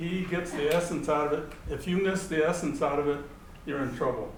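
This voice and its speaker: Against noticeable background noise and audible room echo, a man with an American accent speaks at a fairly quick pace with ordinary pitch variation. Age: 80s+. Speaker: war survivor. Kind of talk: lecture. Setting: lecture hall with audience. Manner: animated; halting.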